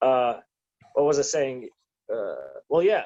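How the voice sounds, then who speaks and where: A man speaks with a slight German accent. His pace is fairly slow. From Germany, to American parents. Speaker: petitioner and rights activist. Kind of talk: casual podcast interview. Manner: halting, many fillers.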